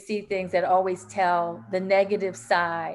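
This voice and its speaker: A woman talks at a moderate pace in a normal speaking voice. Her pitch sits in the medium range. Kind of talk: panel discussion contribution, casual talk.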